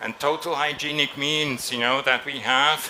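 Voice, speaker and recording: Audible room echo surrounds a man with a bright, sharp tone. He talks fairly slowly with ordinary pitch variation. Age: 60s. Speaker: designer. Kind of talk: press conference interview. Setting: trade fair stage.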